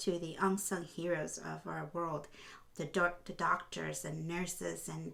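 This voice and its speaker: A woman speaks with vocal fry. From Honduras. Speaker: podcast host and film producer. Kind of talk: heartfelt vlog talk.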